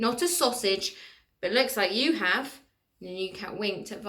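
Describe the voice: The delivery is plain reading aloud with lively intonation. Nothing disturbs the quiet background.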